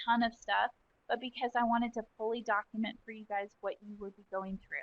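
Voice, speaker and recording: Here a woman talks at a fairly quick pace in a fairly high pitch. She has an unremarkable speaking voice. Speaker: software trainer. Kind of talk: webinar tutorial. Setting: online webinar with screen share.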